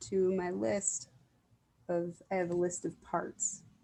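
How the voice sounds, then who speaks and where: The woman's voice sits at a medium pitch. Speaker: IFS parts work demonstrator. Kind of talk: self-demonstration monologue. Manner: frequent filler words; choppy, pauses at awkward moments.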